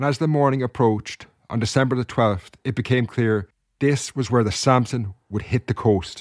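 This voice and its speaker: A man with a plain, everyday voice, medium pitch and ordinary pitch variation, at a moderate pace, in a dry, close sound with no echo, on a very clean recording with a silent background. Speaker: podcast host. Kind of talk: history documentary narration. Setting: home recording setup. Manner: measured, formal storyteller pace.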